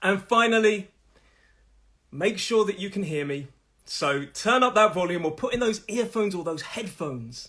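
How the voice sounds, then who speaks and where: With a Nottingham accent, a man talks at a moderate pace in a high pitch, his intonation lively. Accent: Midlands English (Nottingham). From English Midlands, Nottingham. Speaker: English pronunciation teacher. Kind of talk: live online lesson. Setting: live stream.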